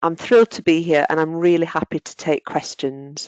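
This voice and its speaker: Against a quiet background, a woman with a northern English accent and a very deep, low pitch speaks in a dry, close sound with no echo. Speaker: occupational therapist and lecturer. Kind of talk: webinar presentation.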